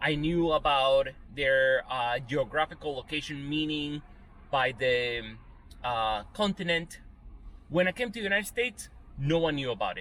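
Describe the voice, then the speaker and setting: Lively intonation marks this man's fairly high voice at a moderate pace. He has an unremarkable speaking voice. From Venezuela, moved to US in eighth grade. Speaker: YouTuber. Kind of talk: opinion rant monologue.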